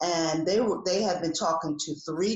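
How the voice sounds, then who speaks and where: A woman speaks at a moderate pace, with noticeable background noise behind her. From New Jersey. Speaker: executive coach. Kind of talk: interview.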